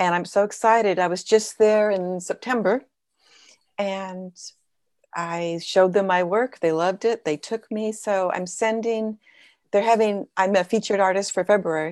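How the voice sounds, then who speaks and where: In an American accent, a woman talks at a moderate pace and medium pitch with fairly even intonation in an unremarkable speaking voice. The sound is dry and close with no echo, a very clean recording with a silent background. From Southern California, LA County. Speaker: abstract painter, retired teacher. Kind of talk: casual interview.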